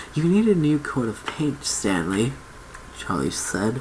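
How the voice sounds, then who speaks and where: The speaker is soft-spoken and goes at a fairly slow pace. Noticeable background noise runs underneath. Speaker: ASMR reader. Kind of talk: read story.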